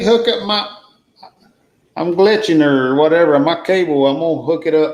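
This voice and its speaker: In a Southern US accent, a man with a high voice talks at a moderate pace with ordinary pitch variation and long, frequent pauses, and the room echo is audible. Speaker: travel channel creator, guest. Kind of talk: casual chat.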